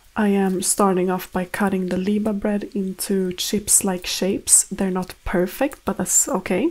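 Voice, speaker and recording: Speaking with a Swedish accent, a woman of medium pitch goes at a fairly slow pace with hardly any pauses, fairly even intonation and very even loudness. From Sweden. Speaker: home cook and vlogger. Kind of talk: cooking vlog voiceover. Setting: home kitchen. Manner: casual, conversational.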